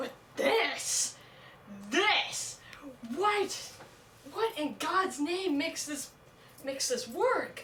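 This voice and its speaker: A woman speaks in a raised, projected voice with a bright, sharp tone and very wide pitch swings. Her long, frequent pauses fall within audible room echo. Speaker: video commentator. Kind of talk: casual rant. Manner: halting, stutters and repeats words.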